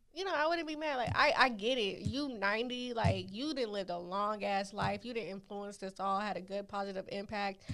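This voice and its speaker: A woman with a normal speaking voice and a medium pitch talks at a moderate pace with lively intonation and hardly any pauses. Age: 20s. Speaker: podcast co-host. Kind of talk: casual chat.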